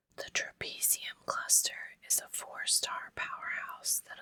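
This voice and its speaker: Whispering in a calm tone, the speaker goes at a fairly slow pace. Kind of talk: ASMR book reading. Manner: whispered; calm, relaxing.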